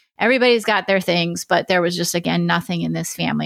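Delivered at a very fast pace with an American accent, the voice has a dry, close sound with no echo. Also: woman. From Oregon, US. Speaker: retired FBI criminal profiler. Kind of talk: interview conversation.

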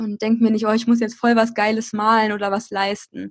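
A woman speaks at a fairly quick pace. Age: 20s. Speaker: blogger and podcaster. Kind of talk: casual interview.

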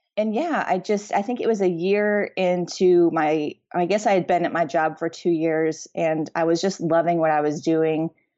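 With an unremarkable speaking voice, a woman talks at a moderate pace and fairly low pitch, with ordinary pitch variation, very even loudness and hardly any pauses. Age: 30s. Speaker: wedding photographer. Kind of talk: casual interview chat.

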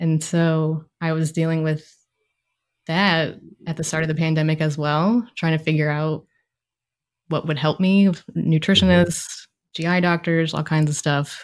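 A woman with an American accent speaks at a moderate pace in a very deep, low pitch, her intonation fairly even, on a very clean recording with a silent background. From Maryland, US. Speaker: clinical social worker and therapist. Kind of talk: interview conversation.

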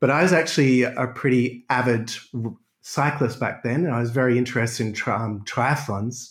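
Somewhat breathy, a man with an Australian accent speaks at a moderate pace on a very clean recording with a silent background. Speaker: chiropractor. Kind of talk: interview.

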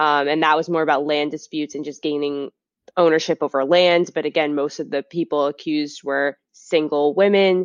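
A woman with an American accent speaks at a moderate pace with a very deep, low pitch. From Massachusetts (Beverly, near Salem). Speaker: YouTuber and yoga teacher. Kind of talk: casual interview. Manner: animated.

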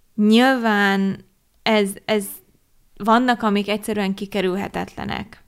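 A woman's medium-pitched, flat, monotone voice at a very slow pace, with long, frequent pauses, on a very clean recording with a silent background. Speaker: podcast co-host. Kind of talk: casual chat. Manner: outspoken.

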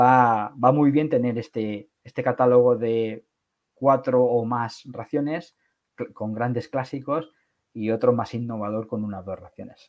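With a normal speaking voice, a man of medium pitch talks at a fairly slow pace and fairly even intonation. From Catalonia, Barcelona. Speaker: e-commerce entrepreneur. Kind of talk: interview.

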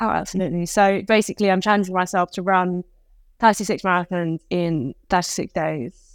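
In a very clean recording with a silent background and a dry, close sound with no echo, a woman with a British accent speaks at a medium pitch and a moderate pace with fairly even intonation. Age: 30s. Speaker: fitness coach and endurance athlete. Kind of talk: casual interview.

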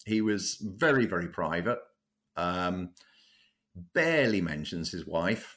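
Speech in a southern English accent carries lively intonation with long, frequent pauses. The recording is very clean, with a silent background. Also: man, very deep, low pitch for a man. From London, England. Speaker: cricket biographer. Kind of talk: interview. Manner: halting, many fillers.

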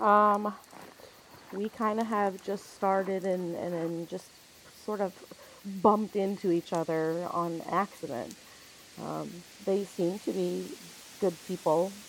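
Against noticeable background noise, a woman talks at a very slow pace with long, frequent pauses. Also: medium pitch for a woman, ordinary pitch variation. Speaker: player character in tabletop game. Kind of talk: in-character roleplay, casual gaming chat.

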